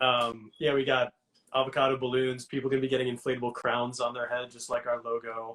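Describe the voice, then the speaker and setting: In a New York accent, a man talks at a fairly quick pace. His medium-pitched voice is monotone and flat. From New York City (Queens). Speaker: hot sauce entrepreneur. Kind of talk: interview. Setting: live Instagram video call.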